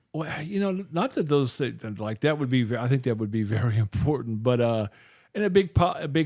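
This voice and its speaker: A man of medium pitch speaks at a moderate pace in a very clean recording with a silent background. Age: 60s. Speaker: podcast host. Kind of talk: casual chat. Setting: studio. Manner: halting, many fillers and restarts.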